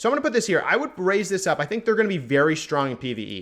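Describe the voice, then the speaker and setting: A man's lively intonation in a very clean recording with a silent background. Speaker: gaming video creator. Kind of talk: tier list commentary. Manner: fast.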